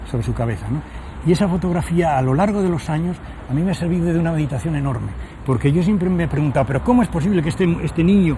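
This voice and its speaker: Very fast delivery with ordinary pitch variation over noticeable background noise. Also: man, fairly high pitch for a man. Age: 70s. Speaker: Dominican friar and preacher. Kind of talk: interview. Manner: halting.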